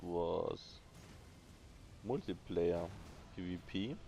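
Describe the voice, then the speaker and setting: A man with a German accent talks in a very deep, low voice with fairly even intonation. Music plays in the background. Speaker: gaming YouTuber. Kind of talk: casual review monologue. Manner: halting, with repetitions and fillers.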